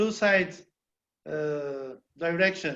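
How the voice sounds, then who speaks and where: A man is speaking here. His intonation is lively. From Uzbekistan. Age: 50s. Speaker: government official. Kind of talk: webinar discussion. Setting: video call. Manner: halting.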